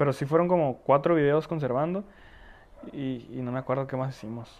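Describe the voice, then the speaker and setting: Moving at a moderate pace, a man talks in a fairly high voice with ordinary pitch variation. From Tijuana, Mexico (born in Ecatepec, moved at four). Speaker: accordion player and backing vocalist. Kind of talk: casual interview chat. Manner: halting, repeats words.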